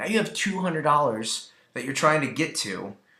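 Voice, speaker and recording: A man speaks in an animated tone at a fairly quick pace. His fairly high voice sounds bright and sharp. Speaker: network marketing team leader / trainer. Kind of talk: training talk. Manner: fast.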